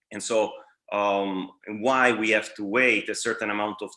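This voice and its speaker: A man with an Italian accent speaks in a bright, sharp tone with ordinary pitch variation. The background is quiet. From Italy, Bari (Puglia). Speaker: dental lecturer, periodontist. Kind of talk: lecture. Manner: halting, many fillers.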